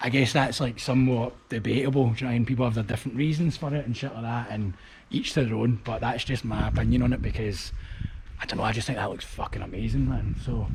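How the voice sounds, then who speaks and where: A man with a Glaswegian accent, talking at a very fast pace. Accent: Glaswegian Scottish. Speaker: street art vlogger. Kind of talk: casual walking vlog commentary. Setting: outdoors, walking through abandoned factory. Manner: casual, swearing-heavy chatty.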